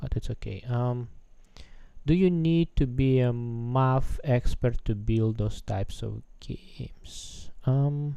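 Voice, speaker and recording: A man's medium-pitched voice, dark and mellow in tone, very slow, with ordinary pitch variation. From Russia. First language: Russian. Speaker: game developer streamer. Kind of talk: live coding stream with chat Q&A. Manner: hesitant, many filler sounds.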